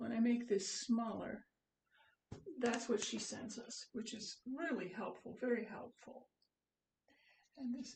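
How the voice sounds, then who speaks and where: Speaking at a fairly slow pace with long, frequent pauses, a woman keeps a high pitch and fairly even intonation while her loudness swings widely. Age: 70s. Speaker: hobby painter. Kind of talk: painting demonstration. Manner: casual, hesitant.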